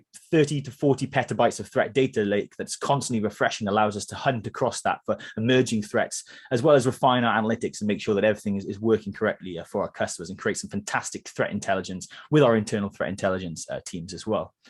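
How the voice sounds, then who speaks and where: Over a quiet background, the speaker talks very fast with a Welsh accent and ordinary pitch variation. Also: man, medium pitch for a man. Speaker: cybersecurity vendor presenter, former security analyst. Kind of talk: product presentation webinar. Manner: hesitant with fillers.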